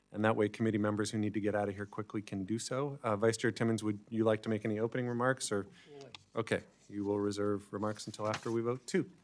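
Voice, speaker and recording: This man's fairly low pitch holds a monotone, flat intonation at a very fast pace. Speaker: committee chair. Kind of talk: formal procedural meeting. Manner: formal.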